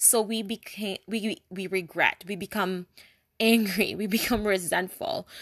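Her voice is fairly high-pitched as the woman talks at a fairly slow pace with a dry, close sound and no echo. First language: not English. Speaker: spiritual wellness podcaster. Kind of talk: solo podcast monologue. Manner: casual rambling.

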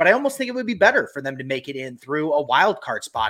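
A man speaks at a very fast pace in a bright, sharp tone with ordinary pitch variation, the recording very clean with a silent background. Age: 40s. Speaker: podcast co-host. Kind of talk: casual chat.

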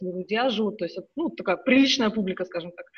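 Pitch shifts in an ordinary way in this somewhat breathy voice. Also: woman. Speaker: emigrant parent. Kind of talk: casual chat.

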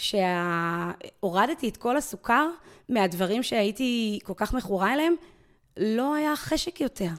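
A woman's fairly high voice with very wide pitch swings at a fairly slow pace, on a very clean recording with a silent background. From Israel. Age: 40s. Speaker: amateur sports player and association board member. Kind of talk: interview.

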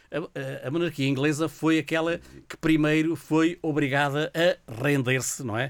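Over a very clean recording with a silent background, a man uses a plain, everyday voice, fairly high in pitch, fairly even in intonation and fairly slow in pace. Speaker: radio show guest. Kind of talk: casual chat. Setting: radio studio.

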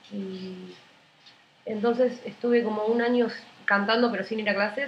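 In a Rioplatense accent, a woman speaks at a moderate pace and fairly high pitch with fairly even intonation. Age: 20s. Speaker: singer-songwriter. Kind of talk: casual interview.

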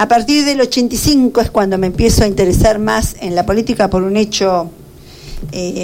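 A woman talks at a fairly slow pace in a plain, everyday voice, with a medium pitch and ordinary pitch variation. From Argentina, Buenos Aires province (Carlos Casares). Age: 50s. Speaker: retired teacher and local politician. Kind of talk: radio interview.

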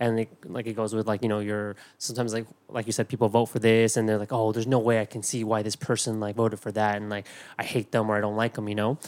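A man speaks very fast at a fairly low pitch, his intonation monotone and flat. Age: 30s. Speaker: podcast co-host. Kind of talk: casual chat.

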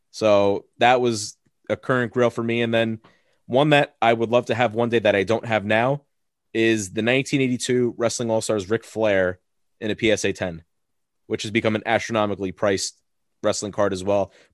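A man with an American accent and a plain, everyday voice talks at a moderate pace in a medium pitch with fairly even intonation. The sound is dry and close with no echo, over a quiet background. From Long Island, New York. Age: 20s. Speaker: wrestling card podcaster. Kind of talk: casual chat. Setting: video call.

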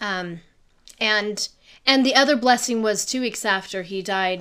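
A woman's bright, sharp voice at a moderate pace, on a very clean recording with a silent background. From Wyoming, Laramie. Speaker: web developer and graphic designer. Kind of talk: interview.

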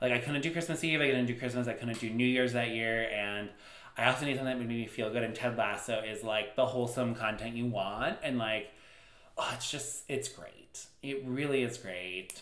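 A man with an ordinary speaking voice talks at medium pitch and moderate pace, with fairly even intonation. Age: 30s. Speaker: podcast co-host. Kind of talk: casual chat.

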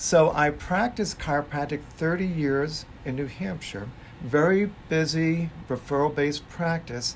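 The voice is somewhat breathy. It moves at a fairly slow pace with ordinary pitch variation. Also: man, fairly high pitch for a man. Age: 60s. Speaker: chiropractor. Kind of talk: casual chat.

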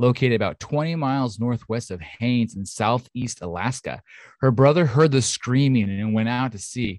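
An unforced reading voice and pitch that varies in an ordinary way

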